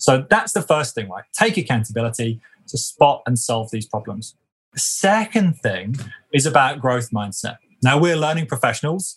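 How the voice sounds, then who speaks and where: A somewhat breathy voice with a British accent, very wide pitch swings and a moderate pace. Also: man, medium pitch for a man. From UK. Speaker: leadership development consultant. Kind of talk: interview conversation.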